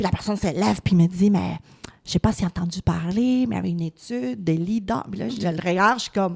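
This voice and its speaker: Speaking at a very fast pace with lively intonation, the voice sounds somewhat breathy. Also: woman, fairly low pitch for a woman. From Latin America. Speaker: politician. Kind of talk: casual interview.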